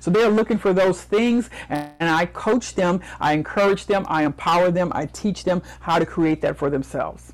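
A woman's fairly low, passionate voice with vocal fry. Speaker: motivational speaker and business coach. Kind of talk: interview.

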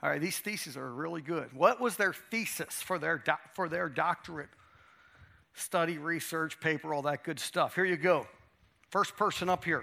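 A man with an American accent speaks at a moderate pace in a high pitch with ordinary pitch variation. His tone is bright, sharp and animated. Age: 50s. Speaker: chapel speaker. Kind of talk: sermon. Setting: stage with audience.

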